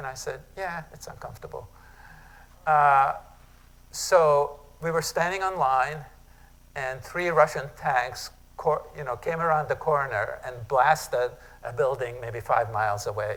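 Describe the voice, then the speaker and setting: A man with a Hungarian accent and a fairly high pitch talks fairly slowly with long, frequent pauses, ordinary pitch variation and big swings in loudness, with audible room echo. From Hungary. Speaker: retired professor. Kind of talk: workshop lecture. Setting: conference room with audience. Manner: casual, conversational.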